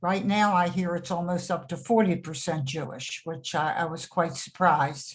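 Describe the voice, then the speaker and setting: A woman talks at a fairly slow pace. Her voice is somewhat breathy, with ordinary pitch variation. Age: 80s+. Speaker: retirement community resident on a panel. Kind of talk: panel discussion on webinar. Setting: video call webinar.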